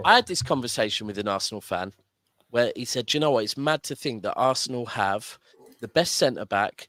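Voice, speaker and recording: A man's medium-pitched voice with a southern English accent, a fairly quick pace, ordinary pitch variation and a dry, close sound with no echo. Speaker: football fan caller. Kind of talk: casual football chat. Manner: animated.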